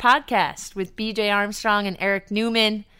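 A woman with an American accent, medium in pitch with a bright, sharp tone, at a fairly slow pace on a very clean recording with a silent background. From New York. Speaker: basketball analyst and podcast co-host, former college player. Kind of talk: casual sports podcast chat. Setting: hotel room.

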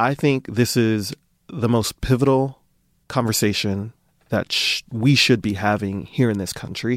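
On a very clean recording with a silent background, a man speaks in a plain, everyday voice at medium pitch, with fairly even intonation and a fairly slow pace. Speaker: podcast host. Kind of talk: interview.

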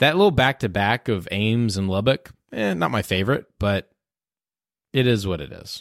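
Heard on a very clean recording with a silent background and a dry, close sound with no echo, a man speaks with an American accent at a moderate pace. He has an ordinary speaking voice, fairly low in pitch, with lively intonation. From Houston, Texas. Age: 30s. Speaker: sports podcast host. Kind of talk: casual chat.

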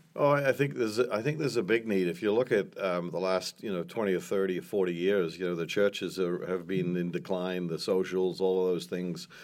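A man talks at a fairly quick pace. His very deep, low pitch moves with ordinary variation. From New Zealand. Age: 60s. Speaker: restaurant owner and entrepreneur. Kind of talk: interview.

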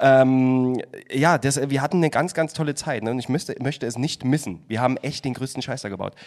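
Speaking in a plain, everyday voice, a man goes at a fairly quick pace with a medium pitch and ordinary pitch variation, on a very clean recording with a silent background. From Saxony, Chemnitz. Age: 30s. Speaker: podcast guest. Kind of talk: casual chat.

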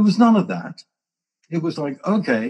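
Somewhat breathy, a man with an English accent speaks at a moderate pace with very wide pitch swings. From England. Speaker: co-founder and longtime friend of the show. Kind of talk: casual conversation.

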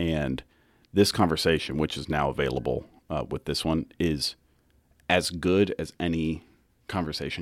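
A man with vocal fry speaks at a very deep, low pitch. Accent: American. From Kansas. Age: 20s. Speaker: podcast producer, guest co-host. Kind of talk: casual chat.

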